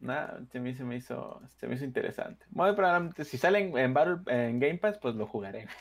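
In a very clean recording with a silent background, a man with a medium pitch speaks at a fairly quick pace, barely pausing, his pitch swinging very widely. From Mexico. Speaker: podcast co-host. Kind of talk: casual chat.

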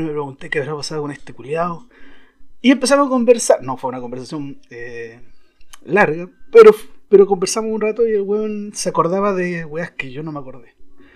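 A man's high voice moves at a fairly quick pace, with very wide pitch swings and big swings in loudness. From southern Chile (Araucanía region). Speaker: blogger. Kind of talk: casual monologue. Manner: casual, hesitant with fillers.

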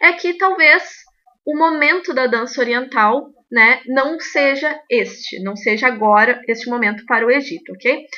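A woman's raised, projected voice, high-pitched and bright with a sharp edge, lively in intonation at a fairly slow pace. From Rio Grande do Sul, Brazil. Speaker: belly dance teacher and podcast host. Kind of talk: podcast monologue, opinion commentary.

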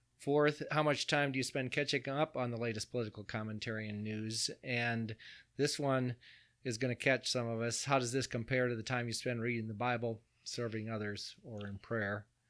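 A man with a plain, everyday voice speaks at a medium pitch and moderate pace with fairly even intonation, captured in a very clean recording with a silent background. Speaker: podcast host and pastor.

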